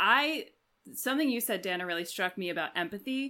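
A woman's bright, sharp voice moves with lively intonation. The recording is very clean, with a silent background. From Washington, D.C. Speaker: actor, musician and teacher, podcast co-host. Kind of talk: casual chat. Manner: halting, many fillers.

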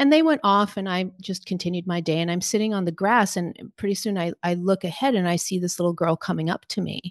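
A woman talks at a very fast pace with hardly any pauses, her medium pitch showing ordinary variation. The background is quiet and the sound dry and close, with no echo. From Portugal. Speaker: spiritual teacher. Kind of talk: interview conversation.

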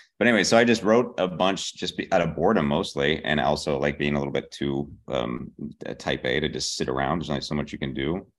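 A man with an American accent talks at a very fast pace with hardly any pauses. His pitch is very deep and low, with lively intonation and vocal fry. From Pittsburgh, Pennsylvania. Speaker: TV comedy writer. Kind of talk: casual interview.

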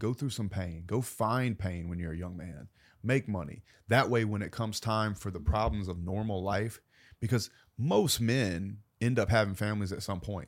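With a Southern US accent, the voice moves at a moderate pace with ordinary pitch variation over a very clean recording and a silent background. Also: man, fairly low pitch for a man. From US South. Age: 30s. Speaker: entrepreneur. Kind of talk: interview conversation. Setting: studio.

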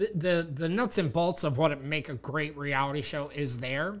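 A man's fairly high voice at a fairly slow pace, in a very clean recording with a silent background. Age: 40s. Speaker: podcast host. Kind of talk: casual chat. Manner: animated.

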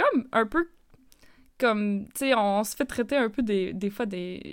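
A woman speaks at a fairly slow pace in an ordinary speaking voice, with ordinary pitch variation. The recording is very clean, with a silent background. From Northern Ontario, Hearst. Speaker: podcast host. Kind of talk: casual chat.

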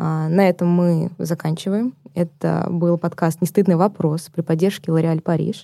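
Her voice fairly low and dark, mellow in tone, a woman speaks at a fairly slow pace in a monotone, flat intonation with very even loudness, the sound dry and close with no echo. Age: 20s. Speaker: podcast host. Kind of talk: podcast interview.

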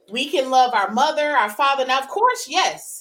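Loud and bright with a sharp tone, a woman with high pitch speaks at a moderate pace with lively intonation. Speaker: podcast co-host. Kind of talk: casual chat.

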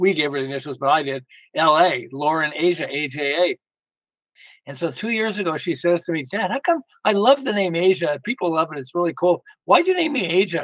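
Here a man talks at a fairly quick pace in a high-pitched voice with lively intonation. The sound is dry and close, with no echo. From Quebec, Montreal. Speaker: author and founder of a fathers and daughters project. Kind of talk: casual interview.

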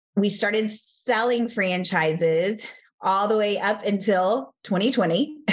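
Ordinary pitch variation in a woman's voice of medium pitch. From Texas. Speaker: fitness studio franchise founder. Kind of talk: interview.

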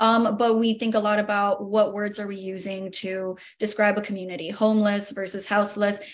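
Her intonation monotone and flat, a woman speaks at a fairly quick pace with hardly any pauses. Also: medium pitch for a woman. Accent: American. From Miami, Florida. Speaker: news reporter. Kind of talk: roundtable discussion.

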